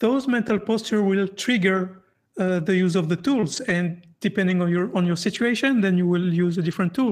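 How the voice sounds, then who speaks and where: Recorded very cleanly against a silent background, a woman with a French accent talks at a moderate pace in a medium voice with ordinary pitch variation. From France. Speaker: atheist podcast host. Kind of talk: interview. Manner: halting.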